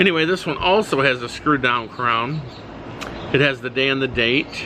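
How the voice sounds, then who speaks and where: Noticeable background noise sits behind a man's voice. He speaks at medium pitch with ordinary pitch variation. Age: 60s. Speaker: watch reviewer. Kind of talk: product review video. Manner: casual, hesitant with many fillers.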